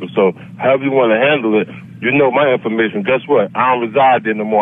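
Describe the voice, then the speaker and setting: At a very fast pace, a man talks in a medium-pitched voice over noticeable background noise. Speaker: prank call target. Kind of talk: phone call. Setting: phone call. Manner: calm, unflinching.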